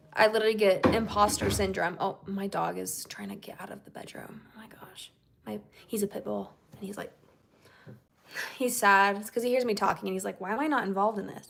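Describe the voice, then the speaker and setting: This woman has a western US accent and a medium pitch. She speaks at a fairly quick pace, and her loudness swings widely. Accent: western American. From Utah, US. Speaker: singer-songwriter streamer. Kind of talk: casual livestream chat with viewers. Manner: animated.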